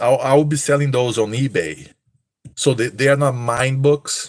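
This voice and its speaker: Speaking at a fairly slow pace, a man of medium pitch has a slight Brazilian accent. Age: 30s. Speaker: streamer, cosplayer and online seller. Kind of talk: live stream casual chat.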